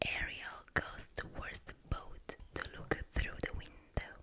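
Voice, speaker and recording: Noticeable background noise surrounds a woman whispering at a very slow pace. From Italy. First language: Italian. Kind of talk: ASMR book reading. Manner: whispering, soft-spoken.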